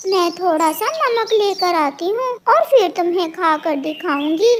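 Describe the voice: In a cartoonish character voice pitched extremely high, a woman speaks at a fairly slow pace with lively intonation.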